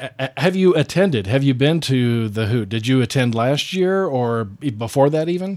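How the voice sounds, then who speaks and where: With hardly any pauses, a man speaks in an unremarkable speaking voice with lively intonation. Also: medium pitch for a man, moderate pace. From western Colorado. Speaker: radio host. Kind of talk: radio interview.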